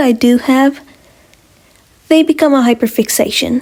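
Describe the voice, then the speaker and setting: A woman with a high pitch talks at a fairly slow pace, her pitch varying in an ordinary way. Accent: non-native. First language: not English. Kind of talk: casual talk to camera.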